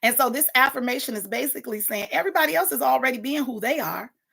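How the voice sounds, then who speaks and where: The speech comes out loud and passionate on a very clean recording with a silent background. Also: woman. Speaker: morning talk show host. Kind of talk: casual livestream talk with affirmations. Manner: passionate, unfiltered.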